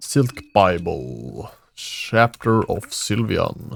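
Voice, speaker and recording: With a Swedish accent, a man speaks in a dry, close sound with no echo. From Sweden. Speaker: gaming YouTuber. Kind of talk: casual gameplay commentary. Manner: halting.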